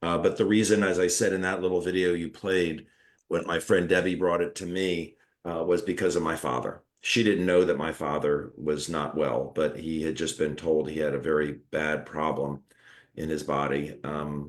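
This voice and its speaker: With a very deep, low pitch and fairly even intonation, a man speaks at a moderate pace against a quiet background. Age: 60s. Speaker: retired surgeon and wellness product promoter. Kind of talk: interview. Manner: halting.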